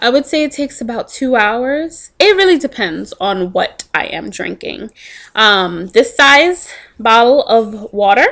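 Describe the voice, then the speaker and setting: Over a quiet background, a woman with a high pitch speaks at a fairly slow pace, her voice making very wide pitch swings and big swings in loudness. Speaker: vlogger sharing a diet journey. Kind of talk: casual vlog chat. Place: home room. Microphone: webcam.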